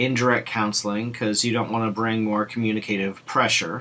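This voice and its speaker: A man speaks at a medium pitch. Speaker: lecturer on fluency disorders. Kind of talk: lecture. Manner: repetitions and disfluent restarts.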